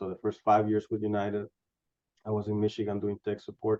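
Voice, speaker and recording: A man's fairly low voice with a Spanish accent, at a fairly quick pace, dry and close with no echo. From Honduras. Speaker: animal science industry scientist. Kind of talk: career interview.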